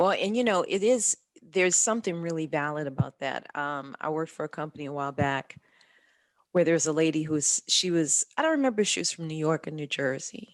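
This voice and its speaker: A woman with a very deep, low pitch and an American accent speaks at a fairly quick pace with ordinary pitch variation. The sound is dry and close with no echo, and the background is quiet. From US South, south Louisiana. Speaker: podcast host. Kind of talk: interview.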